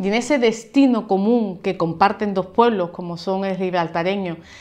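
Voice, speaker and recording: A woman speaks in an ordinary speaking voice at a medium pitch, with ordinary pitch variation and a moderate pace. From La Línea de la Concepción, Andalusia, Spain; Andalusia, Spain. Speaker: mayor and politician; mayor, politician. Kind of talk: interview. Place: office.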